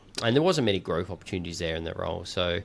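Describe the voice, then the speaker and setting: A man with an Australian accent and a very deep, low pitch. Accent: quite Australian. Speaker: podcast host and founder. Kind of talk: casual chat. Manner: halting, many fillers and repeated words.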